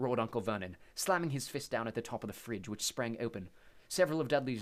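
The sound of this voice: The clip features an unforced reading voice.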